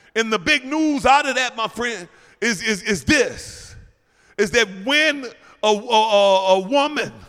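A loud man's voice at an extremely high pitch with a bright, sharp tone and ordinary pitch variation, fairly slow, on a very clean recording with a silent background. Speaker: preacher. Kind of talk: sermon. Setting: church.

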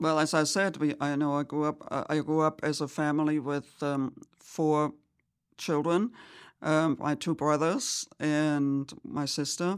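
With a German accent, a woman speaks at a fairly slow pace with a very deep, low pitch. Her intonation is fairly even and her loudness very even, on a very clean recording with a silent background. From Germany. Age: 70s. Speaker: churchgoer. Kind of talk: casual chat. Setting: studio. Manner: halting, many fillers.

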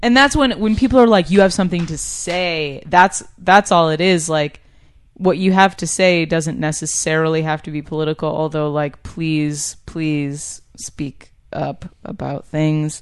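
With an American accent, a woman with a fairly low pitch talks at a fairly slow pace with ordinary pitch variation. She has an unremarkable speaking voice, set against a quiet background. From upstate New York. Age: 20s. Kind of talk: casual interview chat.

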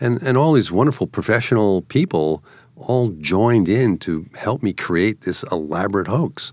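Using a normal speaking voice, a man talks at a moderate pace and fairly low pitch with lively intonation. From New York. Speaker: media prankster and artist. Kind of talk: interview, storytelling.

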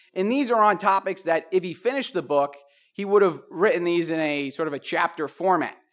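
The speaker has an American accent and a fairly quick pace with ordinary pitch variation. The recording is very clean, with a silent background. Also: man. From New Jersey. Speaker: economics lecturer. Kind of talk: lecture. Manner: halting, many fillers.

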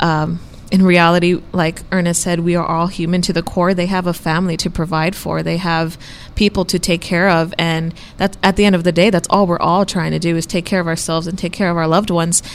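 In an American accent, a woman talks at a fairly quick pace with fairly low pitch and monotone, flat intonation. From Texas border, Brownsville. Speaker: student newspaper columnist. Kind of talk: casual chat.

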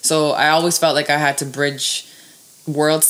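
Over noticeable background noise, a woman with a very deep, low pitch speaks at a moderate pace in a Canadian accent. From Toronto west end, Canada (born in Serbia). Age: 20s. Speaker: teacher. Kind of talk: casual chat.

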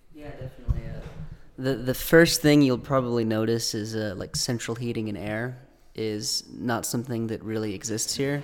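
With an American accent, a man speaks in a plain, everyday voice at a medium pitch and a moderate pace, his intonation fairly even. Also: big swings in loudness. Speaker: engineering student intern. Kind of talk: casual group interview.

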